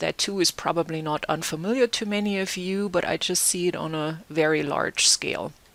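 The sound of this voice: Talking fairly slowly, a woman with a German accent keeps her intonation fairly even.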